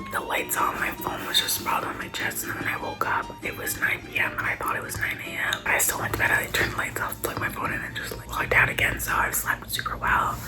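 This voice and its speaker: Music plays in the background and there is audible room echo as a woman whispers at a very fast pace with hardly any pauses. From Canada. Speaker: travel vlogger. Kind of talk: casual vlog narration. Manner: animated; whispering.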